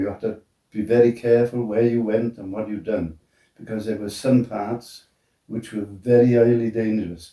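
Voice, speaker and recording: A man with a Welsh accent at a medium pitch and moderate pace, monotone and flat, with big swings in loudness. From Wales. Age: 90s. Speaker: retired steelworker and military veteran. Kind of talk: interview answer. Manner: hesitant.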